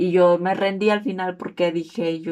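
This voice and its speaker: At a fairly slow pace, a woman talks in a medium-pitched voice. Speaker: student. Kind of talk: class presentation video.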